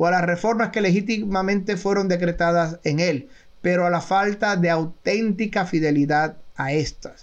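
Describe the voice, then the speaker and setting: A man talks at a fairly slow pace. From Puerto Rico. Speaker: retired army officer and intelligence analyst. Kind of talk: interview.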